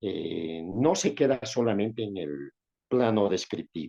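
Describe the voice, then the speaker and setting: At a very slow pace, a man speaks with lively intonation in a dry, close sound with no echo. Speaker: lawyer, professor and former senator. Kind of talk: interview. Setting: video call.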